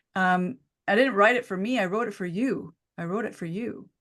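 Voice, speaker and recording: A normal speaking voice, a woman at a medium pitch with lively intonation over a quiet background. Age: 50s. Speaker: naturopathic doctor and author. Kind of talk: interview.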